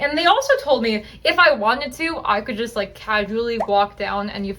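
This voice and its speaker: Over noticeable background noise, a woman with an American accent talks at a fairly high pitch. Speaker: haunt actor and vlogger. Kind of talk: casual vlog narration. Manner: fast.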